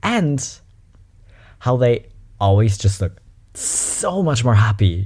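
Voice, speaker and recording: This man's tone is animated, with lively intonation. His voice is somewhat breathy. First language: German. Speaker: YouTuber reacting to videos. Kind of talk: reaction video commentary. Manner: casual and animated.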